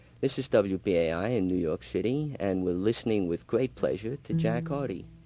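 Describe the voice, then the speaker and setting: Music plays in the background as the speaker goes at a moderate pace with very wide pitch swings. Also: man, fairly low pitch for a man. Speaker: radio host. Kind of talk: live radio chat. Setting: radio studio.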